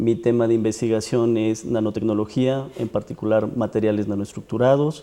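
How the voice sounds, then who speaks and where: A man with a dark, mellow tone speaks at medium pitch with ordinary pitch variation. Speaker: university professor and researcher. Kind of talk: TV interview.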